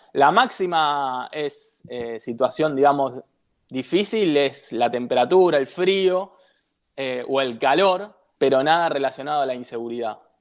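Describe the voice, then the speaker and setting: With an unremarkable speaking voice, a man at a fairly high pitch talks at a fairly slow pace with ordinary pitch variation in a very clean recording with a silent background. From Buenos Aires, Argentina. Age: 30s. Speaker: traveller and former beach footballer. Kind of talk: interview.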